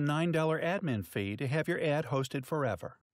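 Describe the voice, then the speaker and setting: A moderate pace in a very clean recording with a silent background. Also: man. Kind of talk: infomercial sales pitch. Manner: hyped, emphatic, salesman-style delivery.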